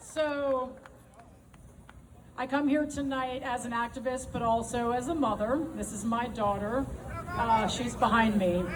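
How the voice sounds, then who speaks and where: Amid audible room echo and noticeable background noise, a woman speaks loud at a high pitch and a fairly slow pace, with ordinary pitch variation and long, frequent pauses. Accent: American. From United States. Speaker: political activist. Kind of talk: rally speech. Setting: outdoor stage with crowd. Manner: impassioned.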